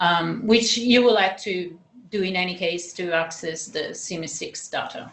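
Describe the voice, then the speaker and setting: Audible room echo surrounds a woman speaking at a very slow pace with ordinary pitch variation. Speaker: research software trainer. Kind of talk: training session. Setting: video call. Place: office.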